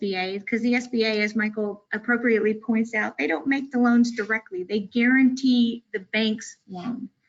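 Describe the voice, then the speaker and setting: A woman with a fairly high, somewhat breathy voice shows ordinary pitch variation. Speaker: business advisor, former banker. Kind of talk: webinar presentation. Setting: online webinar.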